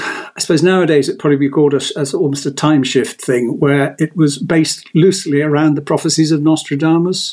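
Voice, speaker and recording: Fairly high male voice at a fairly quick pace, with hardly any pauses. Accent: southern English. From England, Devon (Exeter). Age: 70s. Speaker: author. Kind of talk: casual chat.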